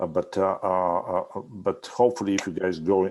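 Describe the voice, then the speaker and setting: A man at a fairly quick pace, in a non-native accent. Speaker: architecture instructor. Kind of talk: review critique. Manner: halting, many fillers.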